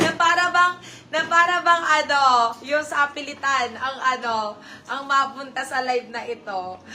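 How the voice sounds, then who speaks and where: Her pitch is high, with ordinary variation. The woman is heard over noticeable background noise. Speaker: online live seller. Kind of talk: live selling stream. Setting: live stream. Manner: deliberately soft, subdued speaking.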